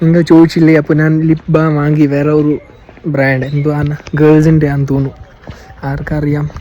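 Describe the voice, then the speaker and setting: Over music in the background, a man with a fairly high pitch speaks with monotone, flat intonation. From Sopore, Kashmir, India. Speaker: travel vlogger. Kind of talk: casual vlog talk to camera. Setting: outdoors.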